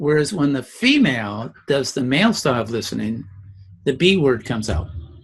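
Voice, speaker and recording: A man speaks with lively intonation. Vocal fry runs through his voice. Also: medium pitch for a man, fairly quick pace. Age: 70s. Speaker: educator and communication trainer. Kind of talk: interview.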